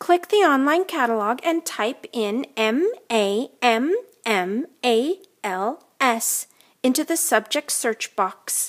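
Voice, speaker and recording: A woman uses a put-on character voice, high-pitched and upbeat, at a very slow pace. The recording is very clean, with a silent background. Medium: read story. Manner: upbeat, teasing.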